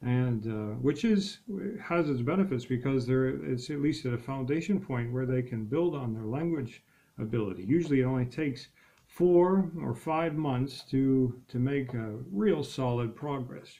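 Medium-pitched male voice with an American accent, a dark, mellow tone, ordinary pitch variation and a moderate pace. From United States. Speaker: English teacher. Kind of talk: self-introduction to camera. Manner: hesitant, many filler words. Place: home room. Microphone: webcam.

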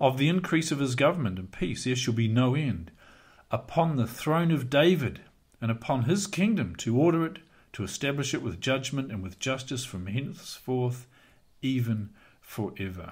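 Somewhat breathy, a man talks at a moderate pace against a quiet background. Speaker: bible teacher. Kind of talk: lecture. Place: home room. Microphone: studio mic.

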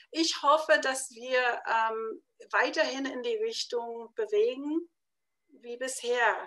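Against a quiet background, a woman speaks at a very slow pace with a high pitch. Her tone is bright and sharp, with ordinary pitch variation. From United States. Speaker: publisher; interviewee. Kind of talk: interview. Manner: halting, many fillers. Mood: calm, hopeful. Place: home room. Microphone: webcam.

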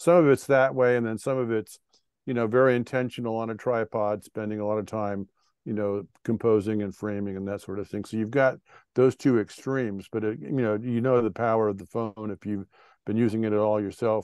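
Fairly quick speech from a man with a fairly low pitch and fairly even intonation, in a dry sound with no echo against a quiet background. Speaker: presenter. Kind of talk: lecture. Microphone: video call.

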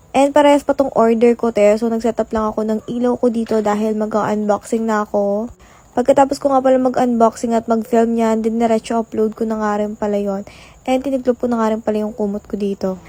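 Her tone dark and mellow, a woman with a fairly high pitch speaks at a fairly quick pace in a monotone, flat intonation, recorded dry and close with no echo. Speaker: lifestyle vlogger. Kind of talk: vlog voiceover narration. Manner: casual, chatty.

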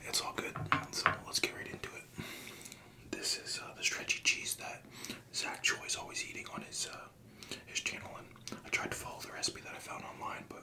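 A man is whispering. He keeps a moderate pace. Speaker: food video creator. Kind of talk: casual vlog chat. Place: home room.

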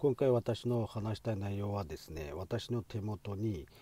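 A man speaks at a fairly low pitch with a dark, mellow tone, somewhat breathy, with a Xinjiang accent and ordinary pitch variation. His pace is fairly slow, and the recording is very clean with a silent background. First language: Uyghur (speaking Japanese). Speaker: physician and medical lecturer. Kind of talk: educational talk.

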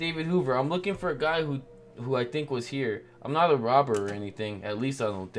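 Someone reads aloud in a natural voice. Their intonation is lively throughout.

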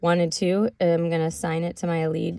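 A dark, mellow tone comes through with a quiet background. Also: woman, dry sound with no echo. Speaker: music production teacher. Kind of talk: tutorial. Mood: relaxed, casual.

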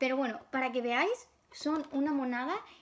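Over noticeable background noise, a woman speaks at a high pitch with ordinary pitch variation. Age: 20s. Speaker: YouTuber, collector; YouTuber. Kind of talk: casual vlog. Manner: hesitant with many fillers. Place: home room. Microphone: phone near.

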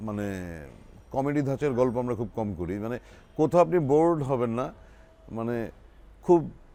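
The man's voice has a dark, mellow tone. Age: 50s. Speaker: actor. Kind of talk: interview. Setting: drama set.

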